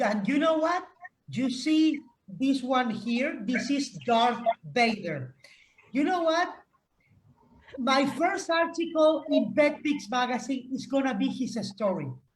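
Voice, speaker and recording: A woman with a high voice speaks at a very slow pace with lively intonation and long, frequent pauses. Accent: Spanish. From Spain. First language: Spanish. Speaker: pet rights advocate. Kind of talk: roundtable discussion.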